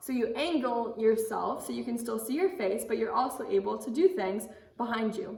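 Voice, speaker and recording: A woman speaks loudly at a high pitch. Audible room echo and noticeable background noise surround her. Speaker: camp drama instructor. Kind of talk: teaching kids a drama skill lesson. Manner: loud and clear, projecting; casual, with filler words.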